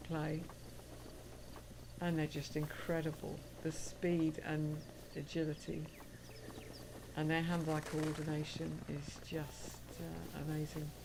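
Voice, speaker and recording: A woman's very deep, low voice, very slow and flat, with long, frequent pauses and audible room echo. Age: 50s. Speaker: gaming streamer. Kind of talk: casual gameplay livestream chat.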